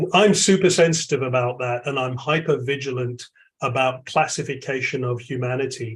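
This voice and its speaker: A man with a London accent speaks at a moderate pace in a somewhat breathy, medium-pitched voice with ordinary pitch variation. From London, England. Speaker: AI expert. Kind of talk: webinar Q&A answer.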